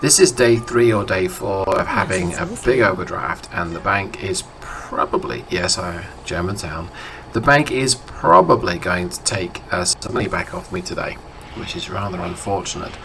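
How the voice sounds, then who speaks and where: With noticeable noise behind him, a man talks at a moderate speed, his pitch fairly low and its variation ordinary. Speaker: video game streamer. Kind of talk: casual gameplay commentary.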